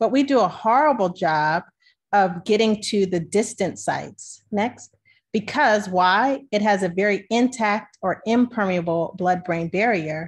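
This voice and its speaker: Against a quiet background, a woman with an American accent speaks at a fairly slow pace and medium pitch. Her loudness stays very even, with ordinary pitch variation. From Maryland, US. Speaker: physician scientist; presenter. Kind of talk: webinar presentation. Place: home room. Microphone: webcam.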